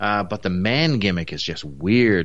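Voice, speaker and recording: A man talks with a Newfoundland accent at a moderate pace. His intonation is lively. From Newfoundland, Canada. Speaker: wrestling podcast co-host. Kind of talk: casual review chat. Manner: conversational, halting with fillers.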